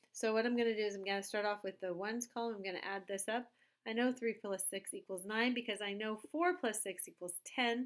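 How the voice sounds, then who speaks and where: A woman speaks in a normal speaking voice, fairly high in pitch, at a fairly quick pace. Her pitch varies in an ordinary way on a very clean recording with a silent background. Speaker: teacher. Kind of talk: tutorial.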